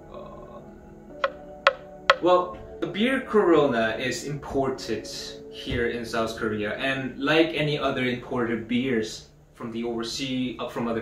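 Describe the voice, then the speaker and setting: Music plays in the background as a man speaks at a fairly slow pace with ordinary pitch variation and audible room echo. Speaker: video host. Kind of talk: casual explainer talk. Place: home room.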